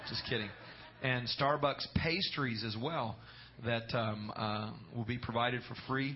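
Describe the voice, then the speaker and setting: A man speaks at a fairly slow pace with ordinary pitch variation. Noticeable background noise can be heard. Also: medium pitch for a man. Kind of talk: fervent prayer before a congregation, with calls to amen. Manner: earnest, rolling, with praise-filled repetition of 'Lord' and 'Jesus'.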